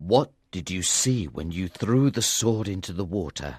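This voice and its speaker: This is a put-on character voice with lively intonation. The pace is moderate. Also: man, very deep, low pitch for a man. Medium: read story.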